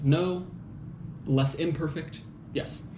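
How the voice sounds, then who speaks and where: Audible room echo surrounds a man speaking with an American accent and fairly even intonation. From United States. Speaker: commentator on magazine articles. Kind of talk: solo monologue commentary. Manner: casual, many fillers and hesitations.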